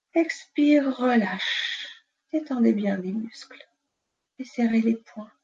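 The speech moves at a very slow pace with long, frequent pauses and ordinary pitch variation. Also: woman, fairly high pitch for a woman. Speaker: nurse and sophrologist. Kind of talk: guided relaxation session; interview. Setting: live video stream. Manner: calm, soothing.

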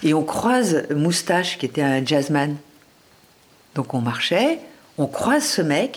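A woman speaks with very wide pitch swings. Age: 60s. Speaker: nutrition author. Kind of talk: interview. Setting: at home.

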